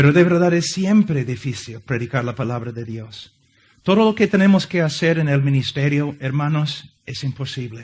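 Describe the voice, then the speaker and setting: A man's fairly high, somewhat breathy voice with an English accent and big swings in loudness. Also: lively intonation, moderate pace. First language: English (speaking Spanish). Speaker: visiting preacher. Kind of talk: sermon. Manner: halting.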